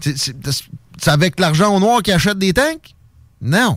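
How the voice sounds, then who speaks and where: Very wide pitch swings in a Quebec accent. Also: man. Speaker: radio host. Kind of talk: talk radio interview. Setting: studio.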